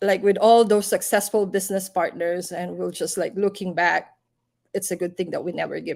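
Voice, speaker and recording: A woman of medium pitch talks at a moderate pace with vocal fry, monotone, flat intonation and big swings in loudness. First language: not English. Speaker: live stream host, business entrepreneur. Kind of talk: casual live chat. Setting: livestream.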